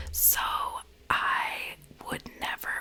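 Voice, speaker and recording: A woman whispers over noticeable background noise. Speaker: ASMR creator. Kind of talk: ASMR get-to-know-me talk to camera. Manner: whispered, soft-spoken.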